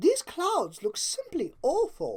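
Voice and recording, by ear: A put-on character voice from a woman, high in pitch and slow, with very wide pitch swings and a slightly mellow tone.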